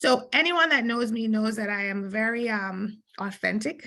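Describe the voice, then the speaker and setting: A woman's fairly high voice with a Jamaican accent and ordinary pitch variation. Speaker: lawyer. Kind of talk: conference panel talk.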